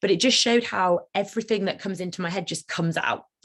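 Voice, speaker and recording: A very fast woman's voice with a British accent. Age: 30s. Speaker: managing partner of a law firm. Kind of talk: talk on personal experience of ADHD. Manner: fidgety, moving around.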